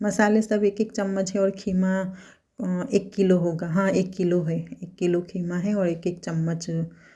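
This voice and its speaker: A woman speaks at a medium pitch with a non-native accent, her tone dark, mellow and somewhat breathy. Her intonation stays flat and monotone, and the very clean recording has a silent background. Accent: non-native Hindi. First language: Gujarati (speaking Hindi). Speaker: cooking vlogger. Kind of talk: cooking tutorial. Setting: home kitchen. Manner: halting.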